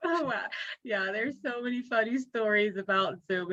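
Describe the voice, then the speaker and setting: Bright and sharp, a woman's high-pitched voice moves at a moderate pace with lively intonation. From Jamaica. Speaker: business etiquette consultant. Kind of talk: Q&A at virtual meeting. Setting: video call.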